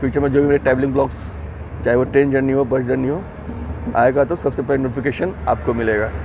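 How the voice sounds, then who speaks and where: A man's voice at a moderate pace, fairly even in intonation, dry with no echo, over noticeable background noise. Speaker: travel vlogger. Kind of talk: casual vlog chat. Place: train. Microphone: earbuds.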